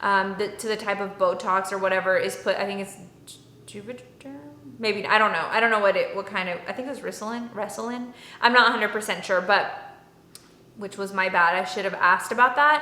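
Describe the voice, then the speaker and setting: A woman with a Texan accent at a fairly quick pace, medium pitch and ordinary pitch variation, amid noticeable background noise. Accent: Texan American English. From Dallas, Texas. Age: 30s. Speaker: beauty and lifestyle vlogger. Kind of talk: casual talk to camera.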